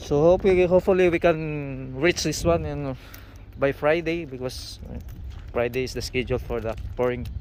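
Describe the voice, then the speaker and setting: A man speaks at a moderate pace with a Filipino accent. Noticeable background noise runs behind him. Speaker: construction worker vlogger. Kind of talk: casual vlog tutorial. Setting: outdoors on construction site. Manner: halting.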